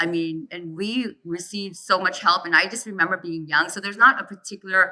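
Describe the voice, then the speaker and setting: Her voice is an unremarkable speaking voice, a woman at medium pitch talking at a fairly quick pace with ordinary pitch variation and big swings in loudness. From US, child of immigrant family. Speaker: panelist. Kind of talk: panel discussion.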